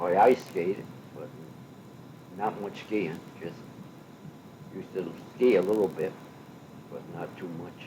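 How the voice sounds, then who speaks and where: Very deep and low, a man's voice carries an American accent. He talks at a fairly slow pace with long, frequent pauses. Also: ordinary pitch variation. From western Massachusetts. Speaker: retired state road maintenance foreman; war veteran. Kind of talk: oral history interview answer.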